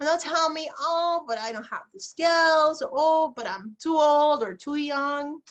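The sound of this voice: A woman's high-pitched, fairly bright voice at a fairly slow pace, with ordinary pitch variation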